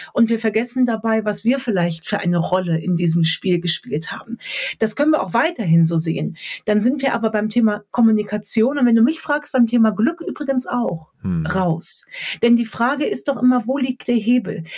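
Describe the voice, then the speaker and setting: A woman talks at a moderate pace with a fairly high pitch and lively intonation. Her voice is somewhat breathy. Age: 30s. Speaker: author, speaker and coach. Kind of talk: podcast interview.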